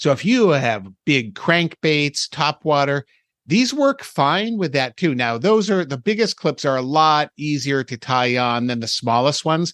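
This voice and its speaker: This man has a normal speaking voice with a fairly high pitch and lively intonation, delivered at a fairly slow pace. The sound is dry and close with no echo, and the background is quiet. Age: 60s. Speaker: fishing podcast co-host. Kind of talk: casual podcast chat about fishing tackle.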